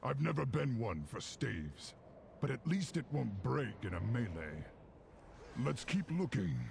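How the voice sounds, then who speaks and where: Using a put-on character voice at a medium pitch, a man swings his pitch very widely at a moderate pace. He leaves long, frequent pauses, with clear background noise behind him. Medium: video game. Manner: blunt, gruff.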